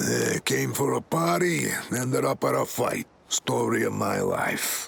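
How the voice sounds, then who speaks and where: The man uses a put-on character voice that sounds raspy. His delivery is fairly slow. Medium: video game.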